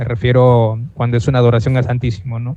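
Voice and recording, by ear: A man's dark, mellow, medium-pitched voice at a fairly quick pace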